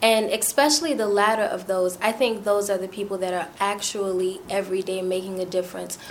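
A woman with an American accent and medium pitch speaks at a fairly quick pace with fairly even intonation, with noticeable background noise. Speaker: community activist. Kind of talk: roundtable discussion.

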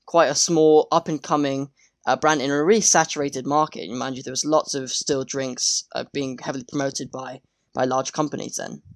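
The speaker has a British accent and talks at a moderate pace. The recording is very clean, with a silent background. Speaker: podcast host. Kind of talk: interview.

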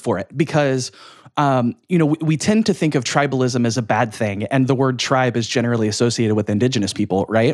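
A man talks at a fairly quick pace and medium pitch with lively intonation, an ordinary speaking voice in a very clean recording with a silent background. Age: 30s. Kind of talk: casual interview.

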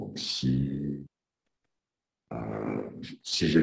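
Soft-spoken with vocal fry, a man talks at a very deep, low pitch with ordinary pitch variation. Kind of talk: interview. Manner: halting. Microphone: too quiet at first.

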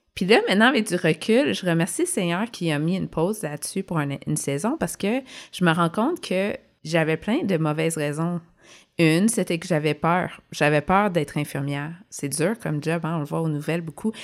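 A woman with a Quebec accent speaks at a fairly low pitch. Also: ordinary pitch variation, moderate pace. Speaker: podcast co-host, former nurse. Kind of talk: casual chat.

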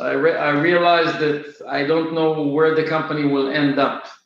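A man with an Israeli accent and a fairly high pitch speaks at a fairly slow pace, with audible room echo around him. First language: Hebrew. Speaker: software company founder and CEO. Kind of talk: interview. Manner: halting, many filler uhs.

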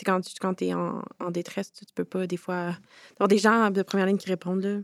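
A woman speaks at a medium pitch in a monotone, flat delivery. The recording is very clean with a silent background and a dry, close sound with no echo. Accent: Quebec. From Quebec, Montreal. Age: 20s. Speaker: youth participant, community organization founder. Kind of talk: round-table discussion. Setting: conference room with audience of youths.

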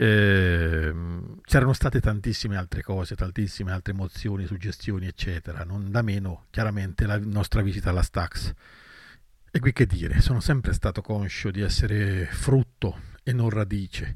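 The voice is somewhat breathy, captured on a very clean recording with a silent background. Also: man, fairly low pitch for a man, ordinary pitch variation, moderate pace. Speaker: blues guitarist. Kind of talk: recorded testimony.

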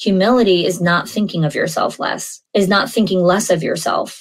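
Somewhat breathy, a woman with an American accent talks with fairly even intonation. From New York. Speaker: podcast host, early childhood school leader. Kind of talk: solo podcast monologue.

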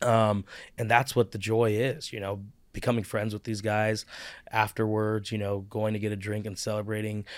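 On a very clean recording with a silent background, a man with a Midwestern American accent speaks at a fairly low pitch in a monotone, flat intonation. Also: moderate pace. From US Midwest, Cincinnati, Ohio. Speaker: real estate agent. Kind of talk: interview.

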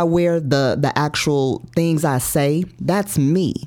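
A woman speaks at a very deep, low pitch. The recording is very clean, with a silent background. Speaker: life and health coach. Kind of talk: interview.

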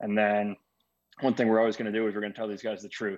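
A man with an American accent, fairly low in pitch, with monotone, flat intonation. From Arizona. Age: 20s. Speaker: baseball manager. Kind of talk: interview.

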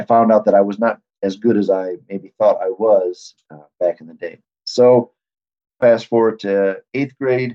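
A plain, everyday voice from a man with an American accent, medium in pitch, fairly slow, with fairly even intonation and big swings in loudness. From Michigan. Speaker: athletic trainer. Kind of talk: interview conversation.

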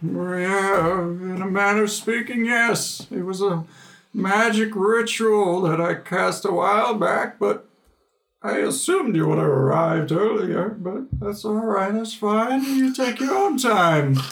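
In a put-on character voice, a man speaks at a fairly slow pace with a high pitch. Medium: actual play. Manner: folksy, rambling, grandfatherly.

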